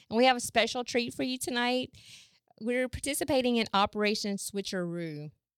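A woman with a Southern US accent at a fairly quick pace, lively intonation, dry, close sound with no echo. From US South. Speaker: podcast host. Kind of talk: show introduction.

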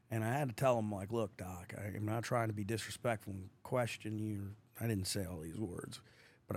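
A man's normal speaking voice, fairly low in pitch, with fairly even intonation at a moderate pace. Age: 30s. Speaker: veteran, former Marine. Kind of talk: casual chat.

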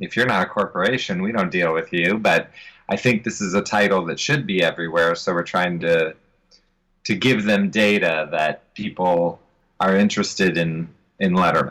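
With an American accent, a man speaks at a moderate pace in a very deep, low pitch, with ordinary pitch variation and a bright, sharp tone. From Ohio, US Midwest. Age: 40s. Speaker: author. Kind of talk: interview.

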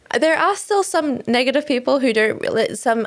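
A woman with an Australian accent, very fast pace and lively intonation. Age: 20s. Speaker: podcast host. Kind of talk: interview.

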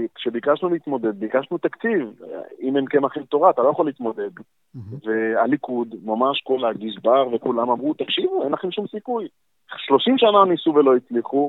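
With an unremarkable speaking voice, a man speaks at a moderate pace. His pitch is fairly high and his intonation lively. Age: 30s. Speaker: city council member and politician. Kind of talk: interview. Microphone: poor audio at times, earpiece.

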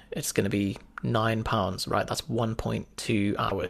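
Speaking with a British accent, a man keeps a medium pitch, fairly even intonation and a fairly slow pace. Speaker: former doctor and fitness entrepreneur. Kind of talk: casual interview chat.

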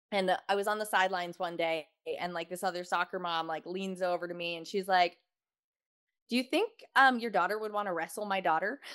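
A woman's medium-pitched, plain, everyday voice with fairly even intonation at a fairly quick pace. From Texas. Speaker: wrestling mom and social media creator. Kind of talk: casual chat.

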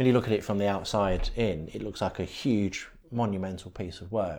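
A man with a fairly low pitch is heard in a very clean recording with a silent background. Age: 40s. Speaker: podcast host and software developer. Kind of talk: casual chat.

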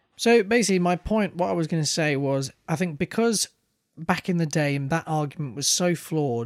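Keeping a fairly quick pace, a man speaks with ordinary pitch variation. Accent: British. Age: 20s. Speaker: podcast co-host. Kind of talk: casual chat.

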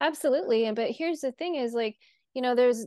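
A woman with a plain, everyday voice and an American accent speaks at a fairly high pitch with ordinary pitch variation. The sound is dry and close with no echo, against a quiet background. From US Midwest, North Dakota. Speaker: horse trainer and coach. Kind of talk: interview.

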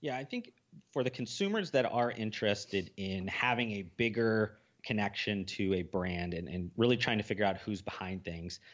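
A plain, everyday voice at a fairly quick pace, with ordinary pitch variation over a quiet background. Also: man. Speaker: podcast host. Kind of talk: casual chat.

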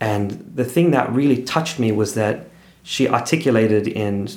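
A man speaks at a moderate pace with a medium pitch. Audible room echo surrounds his voice. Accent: Australian. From Australia. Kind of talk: casual interview.

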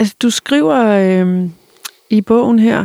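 With a plain, everyday voice, a woman talks in a medium pitch with ordinary pitch variation, the sound dry and close with no echo. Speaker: podcast host interviewing authors. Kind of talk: interview.

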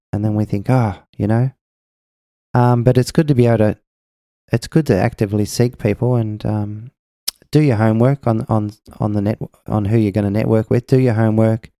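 Here is a man with an Australian accent, medium pitch and a dark, mellow tone. His fairly even intonation moves at a fairly quick pace with long, frequent pauses, in a dry, close sound with no echo. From Australia, Melbourne. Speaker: singer-songwriter. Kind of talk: casual chat.

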